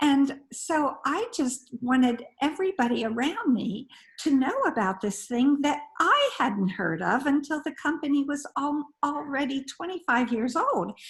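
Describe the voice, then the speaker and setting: Over noticeable background noise, a woman with a high voice speaks fairly slowly, her intonation lively. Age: 80s+. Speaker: direct sales distributor. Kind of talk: group video call chat.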